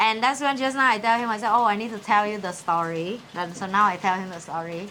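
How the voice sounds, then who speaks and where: A woman with a Vietnamese accent talks at a very fast pace in a medium pitch with ordinary pitch variation. Audible room echo surrounds her voice. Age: young. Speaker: cooking show host. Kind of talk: casual chat.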